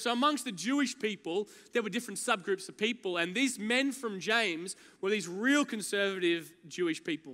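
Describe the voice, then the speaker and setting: A raised, projected voice with a bright, sharp tone, fairly quick pace and ordinary pitch variation. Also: man. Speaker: preacher. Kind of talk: sermon. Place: church. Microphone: headset.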